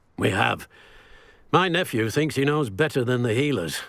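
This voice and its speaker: In a put-on character voice, a man talks at a moderate pace with a raspy, medium-pitched tone over a silent background in a very clean recording. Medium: video game. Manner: stern, curt.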